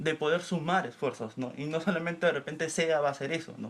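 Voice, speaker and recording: A man with a normal speaking voice and a fairly high pitch talks at a moderate pace with fairly even intonation. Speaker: community organizer. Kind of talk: panel discussion.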